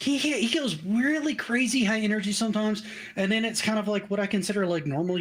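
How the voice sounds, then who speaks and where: A man's high-pitched voice against noticeable background noise. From US South, Tennessee. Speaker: documentary YouTuber. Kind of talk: casual chat.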